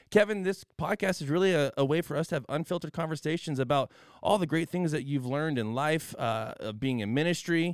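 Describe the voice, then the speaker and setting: Speaking fairly quickly with hardly any pauses, a man with an unremarkable speaking voice has a fairly high pitch and ordinary pitch variation, the sound dry and close with no echo on a very clean recording with a silent background. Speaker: podcast host. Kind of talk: casual chat.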